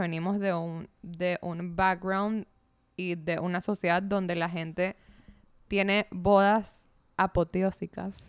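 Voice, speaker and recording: With fairly even intonation, a woman speaks in an ordinary speaking voice at medium pitch. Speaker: podcast co-host. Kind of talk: casual chat.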